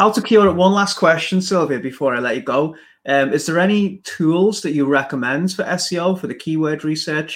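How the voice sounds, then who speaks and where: In a very clean recording with a silent background, a man with an English accent talks at a moderate pace with ordinary pitch variation. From England. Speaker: business podcast host. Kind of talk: casual interview. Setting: live stream on a professional network.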